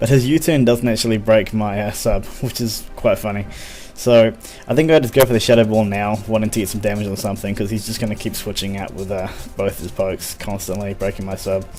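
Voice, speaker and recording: A man at a fairly quick pace with fairly even intonation, music in the background. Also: fairly low pitch for a man. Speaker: gaming commentator. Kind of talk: game commentary narration. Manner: fast; casual, hesitant with fillers.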